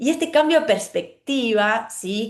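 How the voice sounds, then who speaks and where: A woman speaks with very wide pitch swings. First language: German (speaking Spanish). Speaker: calligrapher. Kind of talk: talk presenting own creative process. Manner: halting, many fillers and self-corrections.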